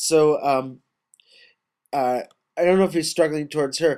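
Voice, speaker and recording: This is a man with a normal speaking voice, fairly high in pitch, at a moderate pace. The recording is very clean with a silent background. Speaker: poetry reader and commentator. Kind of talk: poetry reading with spoken commentary. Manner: casual, conversational.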